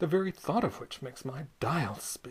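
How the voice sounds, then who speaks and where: A soft-spoken voice at a moderate pace. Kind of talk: poetry reading. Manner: soft, quiet.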